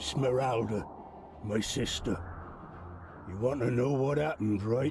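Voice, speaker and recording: Clear background noise sits under this recording. A man of medium pitch uses a put-on character voice. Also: moderate pace. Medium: video game. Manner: sombre, heavy.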